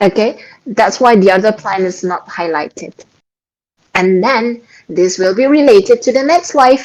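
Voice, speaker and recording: A woman with an Indonesian accent speaks at a moderate pace in a fairly high pitch with lively intonation. She leaves long, frequent pauses. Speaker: Quran study host. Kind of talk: religious study talk. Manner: halting.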